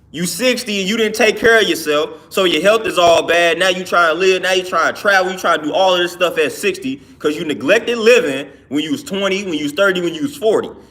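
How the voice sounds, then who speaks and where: Speaking at a very fast pace with hardly any pauses, a man uses a high pitch and an animated tone. Noticeable background noise runs under his speech. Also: lively intonation. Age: 20s. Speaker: livestreamer. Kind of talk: casual monologue sermon.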